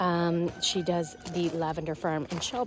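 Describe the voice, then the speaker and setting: A woman's fairly slow speech comes with noticeable background noise. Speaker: farmer and vlogger. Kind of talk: casual vlog garden tour. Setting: outdoors. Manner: hesitant, many fillers.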